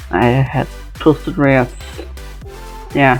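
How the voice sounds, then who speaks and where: The speaker mumbles. Music plays in the background. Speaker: fan video maker. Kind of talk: casual talk to camera. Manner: mumbly, a bit out of it.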